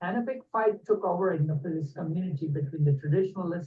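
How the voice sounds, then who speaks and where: A man's somewhat breathy voice. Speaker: lecturer. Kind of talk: lecture. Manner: fast.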